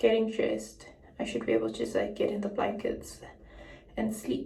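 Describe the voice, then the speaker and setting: The clip carries noticeable background noise. A woman's voice is heard through it. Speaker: vlogger. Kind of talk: casual talk to camera.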